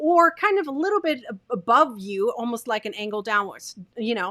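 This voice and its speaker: Bright and sharp in tone, this voice moves at a moderate pace with very wide pitch swings, captured on a very clean recording against a silent background. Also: woman. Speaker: video marketing coach. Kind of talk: tutorial. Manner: varied pitch, expressive.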